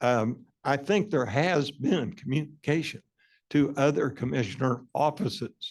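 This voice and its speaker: A man speaks at a medium pitch. Vocal fry runs through his voice. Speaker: utility commissioner. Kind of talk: public meeting debate. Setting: meeting hall with public. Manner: halting, many fillers.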